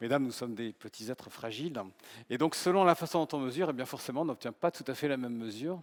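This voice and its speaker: A man at medium pitch and a very fast pace, with ordinary pitch variation, a dry, close sound with no echo, and a very clean recording against a silent background. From south-west France. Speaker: professor of medical informatics and biostatistics. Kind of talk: humorous conference talk. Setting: conference stage with audience.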